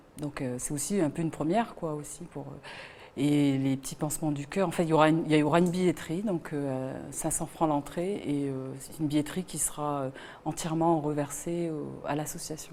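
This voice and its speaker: A woman with a very deep, low pitch speaks at a moderate pace with fairly even intonation, though her loudness swings widely. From Wallis and Futuna. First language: Wallisian (speaking French). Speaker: singer. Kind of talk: interview. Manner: halting, many fillers.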